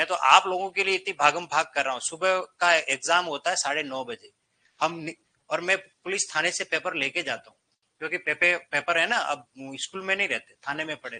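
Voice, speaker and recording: Speaking at a moderate pace, a man has a high, bright, sharp voice with ordinary pitch variation and a dry, close sound with no echo. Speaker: Hindi teacher at coaching class. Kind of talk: classroom lecture. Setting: classroom with students. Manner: loud. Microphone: no microphone, some students may hear poorly.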